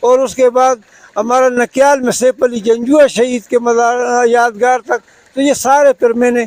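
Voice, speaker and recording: A man speaks at an extremely high pitch with fairly even intonation. The sound is dry and close, with no echo. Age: 60s. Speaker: cyclist, retired government officer. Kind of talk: interview answer.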